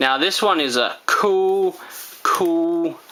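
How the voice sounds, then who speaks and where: Noticeable background noise sits under a voice with an Australian accent. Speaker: comic book YouTuber. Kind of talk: casual haul video talk. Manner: casual, rambling with fillers; slow and soft.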